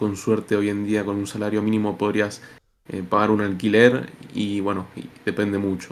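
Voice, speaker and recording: A man with a fairly low pitch speaks at a moderate pace in a very clean recording with a silent background. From Argentina, Buenos Aires. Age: 20s. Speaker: interviewee from Argentina. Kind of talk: interview.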